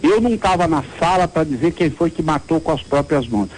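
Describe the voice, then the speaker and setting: This man's voice sits fairly high. The intonation moves in a lively way. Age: 60s. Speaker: city councillor and surgeon. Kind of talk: interview.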